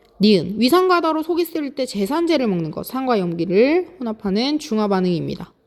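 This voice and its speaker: Her pitch swings very widely as the woman talks at a moderate pace. The recording is very clean, the background silent. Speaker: high school science teacher. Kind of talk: lecture.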